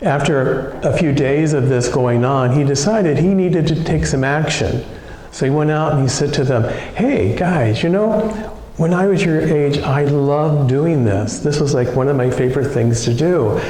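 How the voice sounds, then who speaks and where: A man's fairly high-pitched voice with ordinary pitch variation and very even loudness, amid audible room echo and noticeable background noise. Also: moderate pace. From US Midwest, Ohio. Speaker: minister. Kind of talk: sermon.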